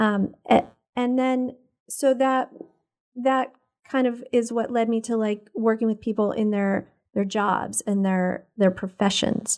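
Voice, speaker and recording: Speaking at a fairly slow pace, a woman with an ordinary speaking voice keeps a fairly high pitch and fairly even intonation. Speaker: environmental health advocate. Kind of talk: casual interview chat. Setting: studio.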